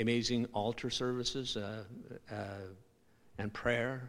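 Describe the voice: The voice has a fairly bright tone, with fairly even intonation and a fairly slow pace. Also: man.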